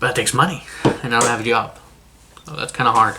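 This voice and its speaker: The speech runs at a very fast pace against noticeable background noise. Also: man. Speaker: vlogger. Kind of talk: casual vlog monologue. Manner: halting, repeating words.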